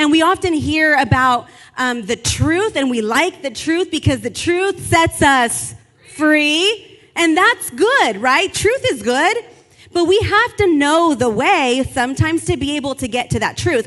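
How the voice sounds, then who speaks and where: A loud, animated woman's voice, high-pitched with very wide pitch swings, at a fairly slow pace. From Latin American heritage. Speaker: pastor. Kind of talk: sermon.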